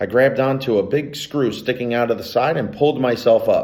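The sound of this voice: The voice is an unforced reading voice. It has ordinary pitch variation.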